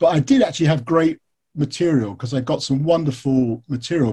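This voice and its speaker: In an English accent, the speaker has a dark, mellow tone, somewhat breathy, with ordinary pitch variation at a moderate pace. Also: man. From England. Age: 50s. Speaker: author and biographer. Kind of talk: interview.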